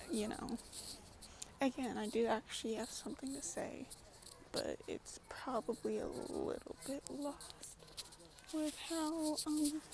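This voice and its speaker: Speaking at a very slow pace with long, frequent pauses, a woman with a high voice uses ordinary pitch variation over noticeable background noise. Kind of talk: casual vlog monologue. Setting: outdoors in a public park. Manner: halting, stuttering.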